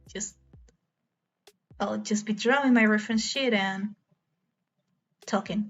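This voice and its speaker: A somewhat breathy woman at a fairly high pitch and fairly slow pace, with fairly even intonation and long, frequent pauses. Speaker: streamer. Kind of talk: casual live stream chat while drawing. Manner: halting, repeats words.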